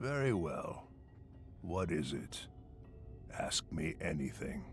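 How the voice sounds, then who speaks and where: A man's put-on character voice, very deep and low in pitch, at a fairly slow pace against clear background noise. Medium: video game. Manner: pompous, condescending.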